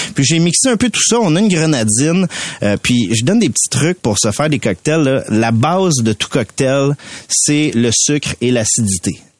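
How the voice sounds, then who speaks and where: A man with a fairly high pitch speaks at a moderate pace with very wide pitch swings and very even loudness, in a dry, close recording with no echo. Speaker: mixologist. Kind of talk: tutorial.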